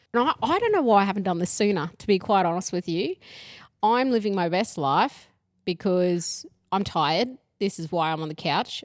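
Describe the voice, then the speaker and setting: A woman with an Australian accent talks at a moderate pace in a medium pitch, her intonation lively. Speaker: podcast co-host. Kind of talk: casual chat. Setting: lying on a couch at home.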